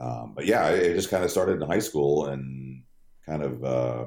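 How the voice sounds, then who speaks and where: A man speaks at a very deep, low pitch with a dark, mellow tone and vocal fry. His pace is moderate and his pitch variation ordinary. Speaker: stadium PA announcer and radio broadcaster. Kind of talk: casual chat.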